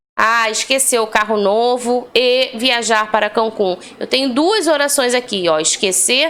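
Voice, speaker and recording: Fairly slow and very even in loudness, a woman's high-pitched voice has a bright, sharp tone and ordinary pitch variation. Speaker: Portuguese language teacher. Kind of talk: online lesson. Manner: slow and deliberate.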